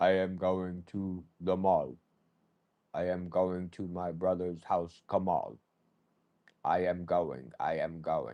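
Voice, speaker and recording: Putting on a robotic character voice, a man speaks very deep and low at a fairly slow pace, with long, frequent pauses. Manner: flat monotone, robotic.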